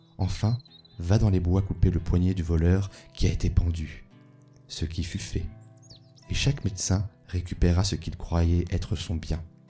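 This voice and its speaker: A soft-spoken man with a very deep, low pitch and a calm tone, talking at a fairly slow pace over background music. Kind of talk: sleep story reading of folk tales, ASMR. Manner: soft-spoken, calm.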